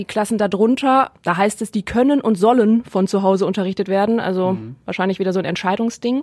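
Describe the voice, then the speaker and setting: A woman speaks at a fairly quick pace with hardly any pauses, her pitch medium and ordinarily varied. The recording is very clean, with a silent background. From Germany, Neuss near Düsseldorf. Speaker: guest co-host. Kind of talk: casual chat. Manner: loud.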